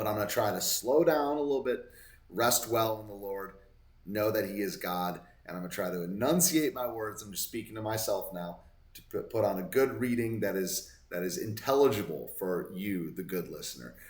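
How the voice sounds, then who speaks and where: With audible room echo, a man speaks at a fairly low pitch and a fairly quick pace, his intonation lively. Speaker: Bible study vlogger. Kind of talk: Bible reading with commentary. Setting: hotel room. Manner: casual, halting with self-corrections; slurring words.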